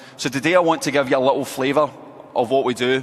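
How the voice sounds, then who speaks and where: A man with a Scottish accent talks at a very fast pace in a fairly even intonation, with noticeable background noise behind him. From Scotland. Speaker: football coach. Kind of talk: coaching clinic presentation. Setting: indoor hall at convention with audience.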